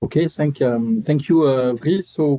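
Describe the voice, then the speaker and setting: A man's dark, mellow tone with a French accent, in a dry, close sound with no echo. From France. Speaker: airfreight tech company representative. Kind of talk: webinar panel discussion. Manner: hesitant with many fillers.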